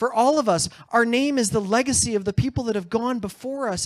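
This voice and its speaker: A high-pitched man with ordinary pitch variation, dry and close with no echo. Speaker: event host. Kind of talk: motivational speech to a live audience.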